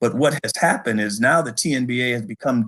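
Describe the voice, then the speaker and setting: In a plain, everyday voice, a man with an American accent talks at a medium pitch with ordinary pitch variation. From Detroit, Michigan. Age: 60s. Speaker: bowling hall of fame director. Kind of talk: interview.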